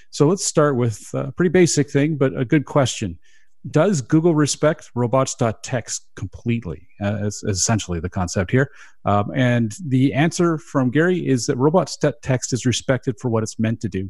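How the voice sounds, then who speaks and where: Somewhat breathy and at medium pitch, a man talks at a moderate pace with lively intonation against a quiet background. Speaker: radio host. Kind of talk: casual chat about SEO news, radio show. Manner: radio-style delivery.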